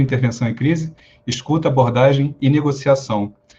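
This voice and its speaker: A man talks at a fairly quick pace in a medium pitch, his voice somewhat breathy. His pitch moves in an ordinary way. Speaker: fire brigade officer and psychologist. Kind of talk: lecture. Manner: fast.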